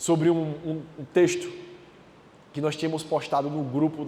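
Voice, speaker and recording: At a moderate pace, a man talks with a fairly high pitch. Audible room echo surrounds his voice. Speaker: preacher. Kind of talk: sermon. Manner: loud.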